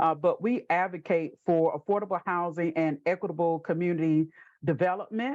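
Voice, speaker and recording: A woman speaks with a Southern US accent and ordinary pitch variation. The background is quiet. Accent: Southern US (Georgia). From US South, southwest Georgia. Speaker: housing advocacy organization president. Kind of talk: panel webinar introduction.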